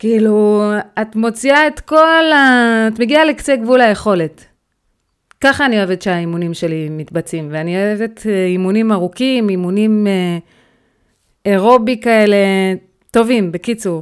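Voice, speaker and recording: Against a silent background in a very clean recording, a woman speaks fairly slowly at a fairly high pitch, her intonation lively and her pauses long and frequent. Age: 30s. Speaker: weight-loss and healthy lifestyle mentor. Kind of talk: motivational podcast monologue.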